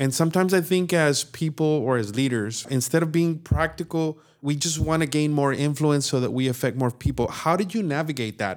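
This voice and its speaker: A normal speaking voice at a fairly quick pace, with ordinary pitch variation and hardly any pauses. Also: man, fairly high pitch for a man. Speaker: church staff member, parent.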